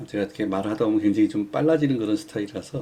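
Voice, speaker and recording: Speaking at a very fast pace, a man with a fairly low pitch and a dark, mellow tone uses lively intonation. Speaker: stock chart indicator instructor. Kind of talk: tutorial. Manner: hesitant fillers.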